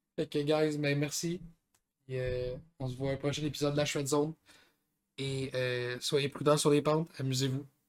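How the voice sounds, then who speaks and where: Speaking at a moderate pace with long, frequent pauses, a man with fairly high pitch keeps a monotone, flat intonation. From Gaspésie, Quebec. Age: 20s. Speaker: podcast co-host, skier. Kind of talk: casual chat.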